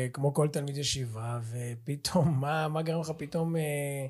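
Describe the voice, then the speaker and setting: Somewhat breathy, a man talks at a very slow pace with a fairly high pitch and ordinary pitch variation. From Israel, central region. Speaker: podcast host and lecturer. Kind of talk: interview. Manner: animated.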